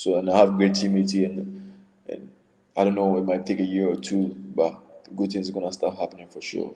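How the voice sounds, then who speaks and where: A man with a dark, mellow tone and fairly low pitch speaks at a fairly quick pace. His intonation is monotone and flat, broken by long, frequent pauses. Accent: Ghanaian. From Ghana. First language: not English. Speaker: college basketball player. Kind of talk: casual interview.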